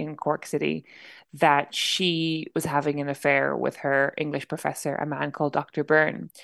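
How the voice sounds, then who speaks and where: An Irish accent over a quiet background. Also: woman. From Ireland. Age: 30s. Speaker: novelist. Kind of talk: interview. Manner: halting.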